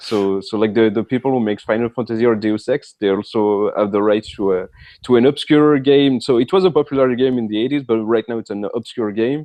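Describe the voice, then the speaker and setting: A man with a French accent talks at a fairly quick pace and medium pitch, with ordinary pitch variation and hardly any pauses. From France. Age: 30s. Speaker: author. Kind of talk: interview. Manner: halting, many fillers.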